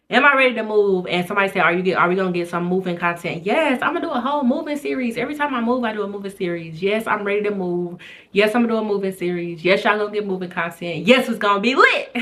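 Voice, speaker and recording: Over noticeable background noise, a woman talks very fast with lively intonation and hardly any pauses. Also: medium pitch for a woman. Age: 20s. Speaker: YouTuber, single mom content creator. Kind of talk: casual Q&A vlog chat. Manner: occasional stuttering.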